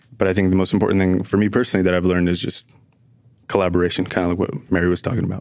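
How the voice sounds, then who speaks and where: A man with an American accent speaks very fast in a very deep, low voice. His delivery is flat and monotone, with noticeable background noise. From New Jersey. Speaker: university student. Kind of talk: podcast interview.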